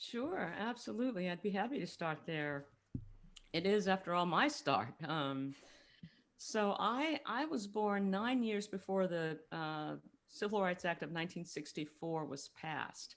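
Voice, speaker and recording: A woman with an American accent speaks in a medium pitch at a fairly slow pace, with very wide pitch swings. The recording is very clean, with a silent background. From US South, New Orleans. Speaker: author and speaker, retired attorney. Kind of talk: podcast interview.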